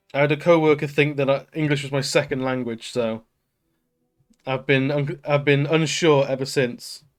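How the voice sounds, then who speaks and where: A man's monotone, flat delivery in a very clean recording with a silent background. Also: moderate pace. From Manchester, northern England. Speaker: streamer. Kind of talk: casual chat.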